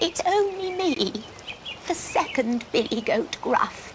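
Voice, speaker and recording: A soft-spoken, put-on character voice at an extremely high pitch, very wide pitch swings, fairly slow pace and clear background noise. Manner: timid, scared.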